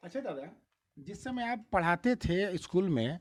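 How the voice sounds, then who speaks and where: This man talks in a high pitch, his intonation lively. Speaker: news reporter. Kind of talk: interview questions.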